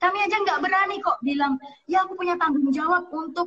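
With pitch moving in a normal way, a woman talks somewhat briskly. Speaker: novelist and author. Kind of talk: casual chat interview. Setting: online call, connection cutting out.

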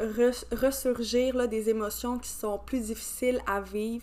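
A woman speaks with a Quebec accent. Her pace is very slow. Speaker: podcast host. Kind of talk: podcast intro; interview.

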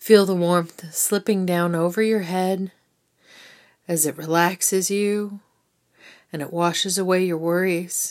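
A woman speaks in a soothing, calm tone with monotone, flat intonation and long, frequent pauses. The recording is very clean, with a silent background. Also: medium pitch for a woman. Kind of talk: guided meditation. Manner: slow, soothing, calm and gently instructive; warm, unhurried pacing with pauses.

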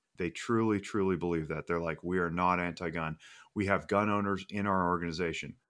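A man with an American accent speaks at a moderate pace in a very deep, low voice with a bright, sharp tone and monotone, flat intonation, on a very clean recording with a silent background. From Reno, Nevada. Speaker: firearms safety trainer. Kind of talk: casual chat.

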